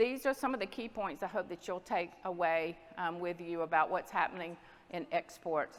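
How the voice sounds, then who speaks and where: This voice, with a Southern US accent, moves at a moderate pace with ordinary pitch variation. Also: woman, fairly low pitch for a woman. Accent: Southern US (Georgia). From US South, Southwest Georgia. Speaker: dairy export industry representative. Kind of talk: conference presentation.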